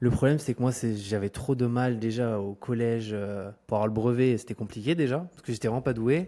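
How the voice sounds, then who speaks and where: Hardly pausing, a man talks at a fairly quick pace in a dark, mellow, medium-pitched voice with ordinary pitch variation. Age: 20s. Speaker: entrepreneur and YouTuber. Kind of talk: podcast interview. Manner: hesitant, many fillers.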